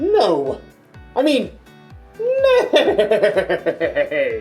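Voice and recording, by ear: An extremely high-pitched, put-on character voice over faint background music.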